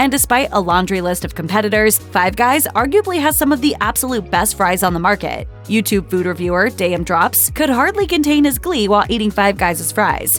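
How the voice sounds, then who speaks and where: A woman talks fairly quickly while music plays behind her. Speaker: voiceover narrator. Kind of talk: food explainer narration.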